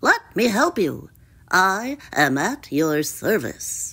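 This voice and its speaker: A croaky, female-sounding put-on character voice at a middle pitch, very slow, on a very clean recording with a silent background. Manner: polite, helpful.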